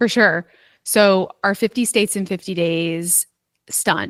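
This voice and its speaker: Recorded very cleanly against a silent background, with a dry, close sound and no echo, a plain, everyday voice speaks at a moderate pace. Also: woman. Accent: American. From US Northeast, New York (Westchester). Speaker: sports public relations staffer. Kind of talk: interview.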